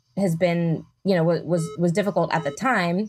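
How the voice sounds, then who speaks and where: A woman is speaking at a moderate pace. Her voice is fairly low in pitch. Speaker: podcast host and author. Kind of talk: casual interview chat. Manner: animated, laughing.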